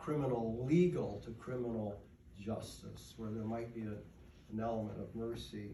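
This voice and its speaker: With an American accent, a man at medium pitch talks at a moderate pace, with audible room echo and noticeable background noise. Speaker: award recipient and advocate for the incarcerated. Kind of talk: acceptance speech. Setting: stage with audience, microphone dead. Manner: loud; halting.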